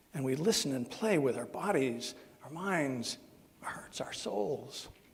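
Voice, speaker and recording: The speech moves at a fairly slow pace with lively intonation, backed by noticeable background noise and audible room echo. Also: man, fairly high pitch for a man. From Southern Ohio. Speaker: minister. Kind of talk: sermon. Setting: church service. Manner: halting.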